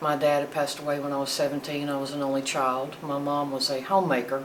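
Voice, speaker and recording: Over noticeable background noise and audible room echo, a woman with a North Carolina accent speaks at a moderate pace with a very deep, low pitch. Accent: Southern US (North Carolina). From US South, North Carolina (Greensboro). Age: 60s. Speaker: retired firefighter. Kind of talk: oral history interview.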